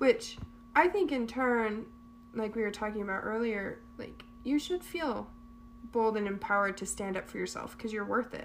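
A woman's normal speaking voice, fairly high-pitched, at a moderate pace with ordinary pitch variation. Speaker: podcast co-host. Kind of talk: casual chat.

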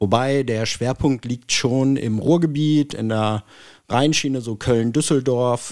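An ordinary speaking voice at a fairly slow pace, with ordinary pitch variation and a very clean recording over a silent background. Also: man. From Hanover, northern Germany. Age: 40s. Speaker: property management executive. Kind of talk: casual interview.

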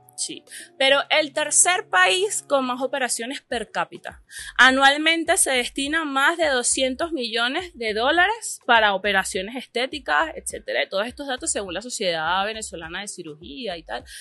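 Against a quiet background, a woman with a bright, sharp tone and high pitch uses a raised, projected voice, very wide pitch swings, and a moderate pace. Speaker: artist. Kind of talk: casual interview. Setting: café.

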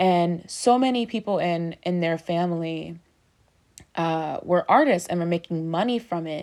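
A woman with an unremarkable speaking voice and a fairly low pitch talks at a moderate pace in a very clean recording with a silent background. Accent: American. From Baltimore, Maryland, US. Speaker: podcast host. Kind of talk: casual solo monologue.

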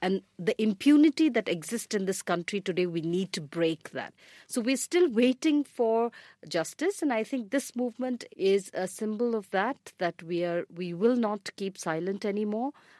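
A woman with an Indian accent speaks at a moderate pace in a fairly high voice with a dark, mellow tone and lively intonation. The recording is very clean, with a silent background and a dry, close sound with no echo. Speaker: rights activist. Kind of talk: panel discussion.

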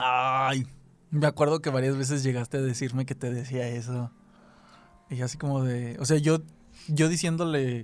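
A man speaks in a Mexican accent at a medium pitch, with fairly even intonation. He leaves long, frequent pauses. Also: moderate pace. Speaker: podcast co-host. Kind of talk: casual chat.

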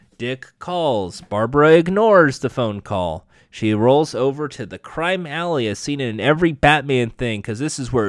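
Lively intonation runs through the unforced reading voice.

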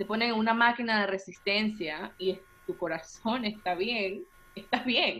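The speech moves at a fairly slow pace with ordinary pitch variation, and noticeable background noise sits behind it. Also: woman, fairly high pitch for a woman. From Venezuela, Puerto la Cruz. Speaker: body positivity influencer. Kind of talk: interview.

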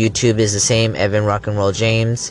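A man at a medium pitch speaks at a fairly quick pace with music in the background. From Los Angeles, California. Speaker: poet and online content creator. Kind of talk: casual vlog. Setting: at a restaurant. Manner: hesitant, many fillers.

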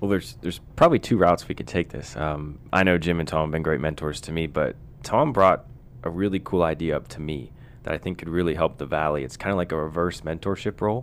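The speaker has an American accent and talks very fast. Vocal fry runs through the voice. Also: man, very deep, low pitch for a man, ordinary pitch variation. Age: 20s. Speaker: sales and marketing professional. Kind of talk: casual chat.

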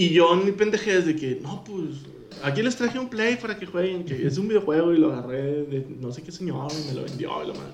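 A high-pitched man's voice with a Mexican accent, fairly quick and full of lively intonation, with big swings in loudness over noticeable background noise. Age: 20s. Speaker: podcast co-host. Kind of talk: casual chat. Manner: animated, laughing often.

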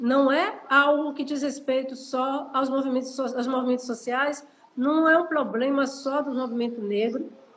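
A woman's high voice at a fairly slow pace, fairly even in intonation, with audible room echo. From Brazil, Salvador, Bahia. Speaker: historian and university professor. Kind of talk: interview on an Instagram live. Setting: Instagram live video call.

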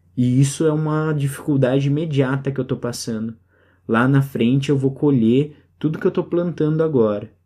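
Fairly high-pitched yet dark and mellow in tone, a man talks at a moderate pace, his intonation fairly even. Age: 30s. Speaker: podcast host. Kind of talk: solo reflective monologue.

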